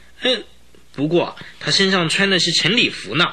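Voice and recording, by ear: With big pitch swings, a man does a put-on character voice at a high pitch. The tone is bright and sharp, at a moderate pace.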